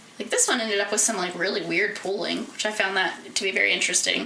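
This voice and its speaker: A woman speaks at a fairly quick pace with fairly high pitch. Noticeable background noise can be heard. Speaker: knitting podcaster and hobby spinner. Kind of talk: casual talk to camera. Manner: rambling, chatty.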